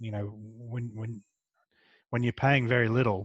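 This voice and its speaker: This soft-spoken man has an Australian accent, and the sound is dry and close with no echo. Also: quiet background. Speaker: comic book writer and artist. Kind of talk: interview answer.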